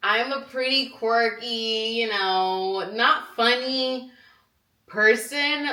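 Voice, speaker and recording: A woman speaks with a fairly high pitch and a bright, sharp tone, her intonation lively and animated. Some room echo can be heard. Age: 20s. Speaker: vlogger. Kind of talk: casual chat.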